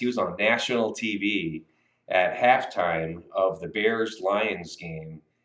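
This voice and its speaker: This is a man speaking. He has an American accent. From US Midwest (Illinois and Iowa City). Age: 50s. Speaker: sportswriter. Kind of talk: interview. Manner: casual, hesitant with fillers.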